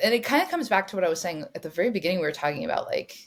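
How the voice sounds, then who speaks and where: There is an American accent in this woman's speech. Her recording is very clean, the background silent. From Northern California. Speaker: neuroscientist. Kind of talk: interview conversation. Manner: loud.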